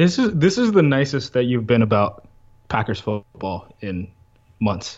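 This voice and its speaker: A man's medium-pitched voice at a fairly slow pace, with very wide pitch swings. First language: Spanish. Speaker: sports betting podcast host. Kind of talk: casual chat.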